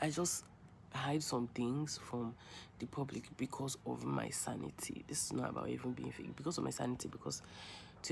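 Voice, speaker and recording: Here a woman with a Nigerian accent speaks at a moderate pace. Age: 20s. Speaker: vlogger. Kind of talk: personal vlog monologue. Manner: rambling, hesitant.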